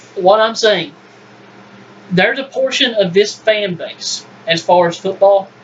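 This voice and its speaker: Against noticeable background noise, a man with a high pitch speaks at a fairly slow pace, with long, frequent pauses. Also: ordinary pitch variation. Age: 20s. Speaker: sports podcast host. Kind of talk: casual sports debate. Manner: animated.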